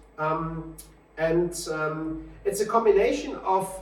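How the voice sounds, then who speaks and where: With a German accent, a man speaks at a fairly high pitch amid noticeable background noise and audible room echo. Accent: German accent, self-described school English. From Germany. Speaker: simulator shop owner presenting product. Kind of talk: product presentation. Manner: halting, many filler sounds.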